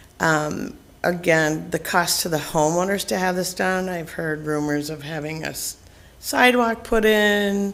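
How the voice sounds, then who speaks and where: A woman with a fairly low voice for a woman speaks amid audible room echo. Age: 60s. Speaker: resident addressing council. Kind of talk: public comment. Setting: council chamber.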